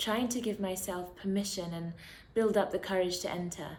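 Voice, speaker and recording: With a British accent, a woman speaks at a moderate pace and medium pitch, her intonation fairly even, with audible room echo. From London, England. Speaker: poet. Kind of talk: spoken word poetry.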